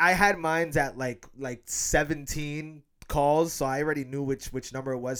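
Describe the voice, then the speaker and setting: A man with an American accent speaks with fairly even intonation in a plain, everyday voice, recorded very cleanly against a silent background. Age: 20s. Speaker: podcast host. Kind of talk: casual chat.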